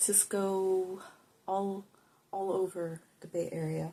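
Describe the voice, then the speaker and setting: A soft-spoken woman talks at a medium pitch and a fairly slow pace. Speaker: tarot reader and spiritual healer. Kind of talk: casual tarot reading to camera. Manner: relaxed, unscripted.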